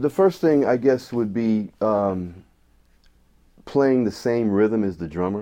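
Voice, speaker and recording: Very slow speech in an American accent, with a dark, mellow tone, ordinary pitch variation and long, frequent pauses. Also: man, fairly low pitch for a man. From Syracuse, upstate New York. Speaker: jazz trumpeter and music teacher. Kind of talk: interview. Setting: studio. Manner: casual, halting.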